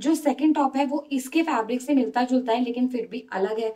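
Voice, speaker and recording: A woman's high-pitched voice with a dark, mellow tone, a fairly slow pace and fairly even intonation, against a quiet background. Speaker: fashion vlogger. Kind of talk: casual haul presentation. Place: home room. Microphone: phone near.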